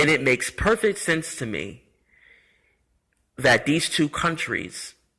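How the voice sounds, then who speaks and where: A man talks at a fairly slow pace in a fairly high pitch, with very wide pitch swings. His tone is bright and sharp, with vocal fry. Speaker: history vlogger. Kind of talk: off-the-cuff monologue. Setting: apartment complex community room. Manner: halting, some stuttering.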